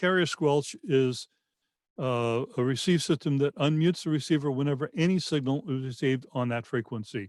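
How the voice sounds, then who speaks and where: A man with a fairly high pitch and ordinary pitch variation speaks on a very clean recording with a silent background. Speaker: radio engineer giving training. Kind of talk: lecture. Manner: fast.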